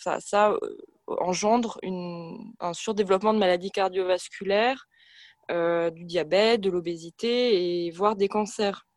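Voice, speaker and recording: A woman speaks at a fairly slow pace and medium pitch. Her intonation is fairly even, but her loudness swings widely. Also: quiet background. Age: 20s. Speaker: environmental activist, medical student. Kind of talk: radio interview. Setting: remote from home. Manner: hesitant, many fillers.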